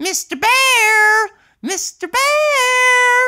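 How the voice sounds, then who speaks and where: In a put-on character voice, the speaker sounds squeaky and shrill at an extremely high pitch. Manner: screeching, frantic.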